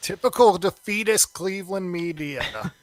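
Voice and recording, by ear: Putting on a gravelly character voice, a man speaks at a moderate pace in a high pitch.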